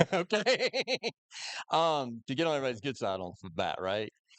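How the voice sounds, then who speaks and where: With a Southern US accent, this man talks at a medium pitch. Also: quiet background. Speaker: police detective. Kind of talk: public presentation.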